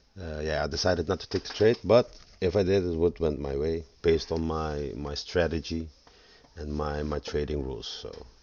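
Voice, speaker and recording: A man's very deep, low voice at a moderate pace, with ordinary pitch variation and big swings in loudness. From Netherlands. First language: Dutch. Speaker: forex trader. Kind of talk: tutorial. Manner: halting.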